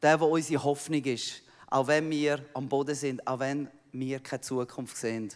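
With a Swiss accent, a man talks at a moderate pace in a monotone, flat intonation. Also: fairly high pitch for a man. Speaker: missionary pastor. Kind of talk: sermon. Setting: church.

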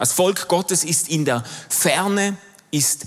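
Talking at a very slow pace, a man uses ordinary pitch variation. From Switzerland, Basel. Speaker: pastor and theologian. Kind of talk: sermon.

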